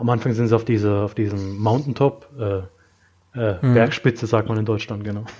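A man speaks at a fairly quick pace with a medium pitch. His is an unremarkable speaking voice, set against a quiet background. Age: 20s. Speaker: film fan podcast guest. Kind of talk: casual chat.

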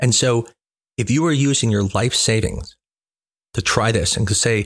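Somewhat breathy, the man's mid-range voice shows ordinary pitch variation. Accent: American. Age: 40s. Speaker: fertility doctor. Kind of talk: educational monologue.

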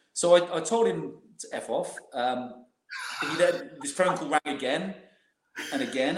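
A high-pitched man with very wide pitch swings and audible room echo. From West Country, England. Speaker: former professional footballer. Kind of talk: casual interview.

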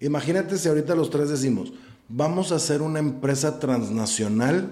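The tone is dark and mellow, with lively intonation. There is audible room echo. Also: man. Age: 40s. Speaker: theatre producer and actor. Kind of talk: casual chat. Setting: room with echo. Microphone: echoey recording.

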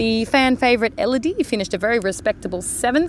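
Speaking at a fast pace, a woman has a fairly high pitch and lively intonation.

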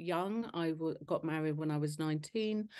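A woman with a London accent, her pitch fairly low with ordinary variation. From northwest London. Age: 60s. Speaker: charity founder. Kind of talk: interview. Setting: video call.

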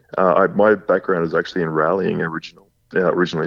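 Here a man speaks in a very deep, low pitch with an Australian accent. His pace is moderate. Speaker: podcast guest, drift racing driver. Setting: phone.

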